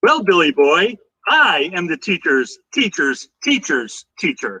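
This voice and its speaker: Put-on character voice from a man, fairly slow and high in pitch. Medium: comedy sketch. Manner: brash, bossy.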